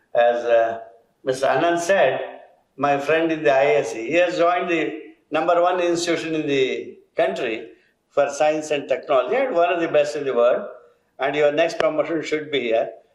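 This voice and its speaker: Fairly high-pitched man at a moderate pace, with audible room echo. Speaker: educator. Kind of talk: ceremonial speech.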